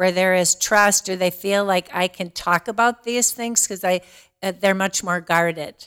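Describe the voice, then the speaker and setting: With a normal speaking voice at medium pitch, a woman talks at a fairly slow pace with fairly even intonation and hardly any pauses, in a dry, close sound with no echo. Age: 60s. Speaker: diversity and inclusion director. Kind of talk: casual interview.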